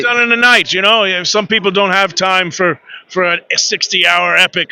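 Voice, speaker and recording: A man with a high voice projects loudly at a fairly quick pace. The sound is dry and close with no echo, and his intonation stays fairly even. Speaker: voice actor. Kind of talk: interview answer.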